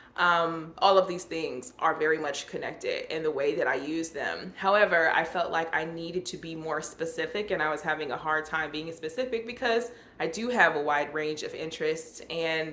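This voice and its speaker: Amid noticeable background noise, a woman with a fairly low voice speaks at a moderate pace. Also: ordinary pitch variation. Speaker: YouTuber sharing personal reflections. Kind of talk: personal vlog monologue. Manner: halting, with many fillers.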